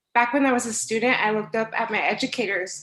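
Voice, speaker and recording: A woman with a Spanish accent talks at a fairly quick pace, her high pitch showing ordinary variation. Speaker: instructional assistant. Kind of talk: prepared speech at board meeting.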